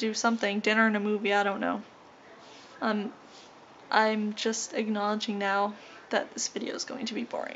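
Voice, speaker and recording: A somewhat breathy woman at a moderate pace, with light background noise. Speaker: vlogger. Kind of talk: casual vlog chat. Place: home room. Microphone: phone near.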